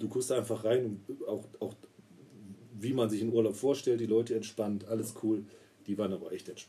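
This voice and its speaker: Flat and monotone, a man speaks at a medium pitch and a moderate pace, with long, frequent pauses. His dark, mellow voice is somewhat breathy. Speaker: podcast co-host, trained roofer. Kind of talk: casual chat.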